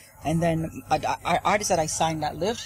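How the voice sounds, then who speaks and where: A woman speaks with an American accent amid noticeable background noise. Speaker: reggae/dancehall artist and label owner. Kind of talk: TV interview.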